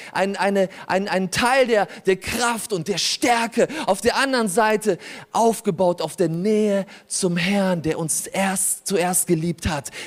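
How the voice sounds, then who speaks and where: A man with ordinary pitch variation. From Germany, born in Poland. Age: 40s. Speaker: pastor. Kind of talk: sermon. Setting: church. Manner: animated.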